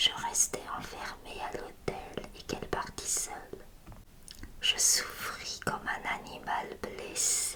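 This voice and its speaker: Noticeable background noise fills the recording. Over it, a woman whispers. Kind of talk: whispered literary reading of a short story. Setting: ASMR audio recording. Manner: whispered, soft.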